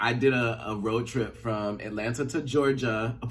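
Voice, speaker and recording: An animated tone carries through audible room echo. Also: man. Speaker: YouTuber, pop culture commentator. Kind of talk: casual vlog chat. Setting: his bedroom.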